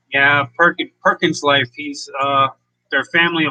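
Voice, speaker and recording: A loud man with a fairly high pitch, a bright, sharp tone and an American accent, at a fairly slow pace, with a dry, close sound and no echo. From northeast Pennsylvania. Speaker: homesteading YouTuber. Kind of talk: live stream chat. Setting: live stream.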